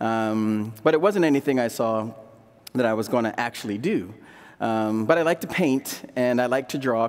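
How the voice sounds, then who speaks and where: Pitch varies in an ordinary way. The pace is moderate. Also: man. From Delaware, US. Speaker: ceramic artist and printmaker; demonstrating artist. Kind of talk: live demonstration talk. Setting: stage with audience. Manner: casual, halting with fillers. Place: stage. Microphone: headset.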